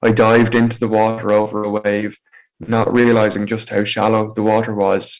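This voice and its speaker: This man speaks in a monotone with flat intonation and an Irish accent. His pitch is fairly low, and his pace is moderate. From Ireland, County Meath. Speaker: motivational speaker with spinal injury. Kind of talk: personal testimony talk.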